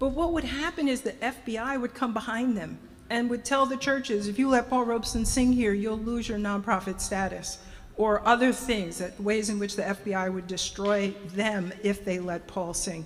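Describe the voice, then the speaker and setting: Over music in the background, a woman talks in a fairly high voice with ordinary pitch variation. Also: moderate pace. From New Jersey (Orange, Essex County). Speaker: speaker at a community event. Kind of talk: public remarks to an audience.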